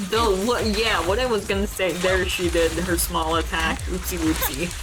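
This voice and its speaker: With audible room echo and noticeable background noise, a woman's voice holds a very even loudness. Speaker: video game streamer. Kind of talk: casual chat. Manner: hesitant with filler words and repetitions.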